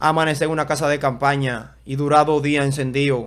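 Delivered at a fairly quick pace, the speech keeps fairly even intonation. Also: man. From Dominican Republic, Santo Domingo; Dominican Republic. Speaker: event videographer and content creator; content creator. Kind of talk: casual interview chat. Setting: studio. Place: studio. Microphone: studio mic.

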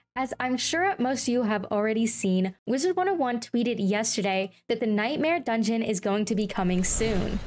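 This woman speaks at a moderate pace. Her intonation is lively. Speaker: gaming youtuber. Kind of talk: casual vlog chat. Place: home room.

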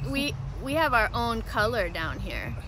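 Noticeable background noise sits under a dry sound with no echo. The pace is fairly slow. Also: woman. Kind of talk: tutorial. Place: garden. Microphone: phone near.

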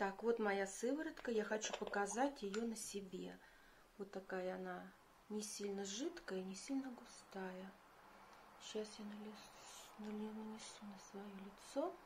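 A woman at medium pitch, very slow pace and ordinary pitch variation, with audible room echo. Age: 50s. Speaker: beauty vlogger. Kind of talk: tutorial.

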